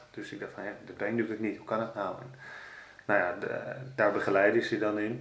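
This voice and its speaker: A man speaks with fairly low pitch and a monotone, flat intonation. Audible room echo can be heard. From Netherlands, Amsterdam. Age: 40s. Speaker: carp angler and blogger. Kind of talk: interview. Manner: halting.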